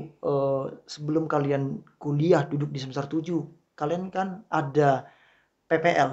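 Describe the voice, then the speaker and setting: A man with an ordinary speaking voice, fairly high pitch, fairly even intonation and a fairly slow pace. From Riau, Indonesia. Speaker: podcast host, lecturer. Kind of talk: casual chat.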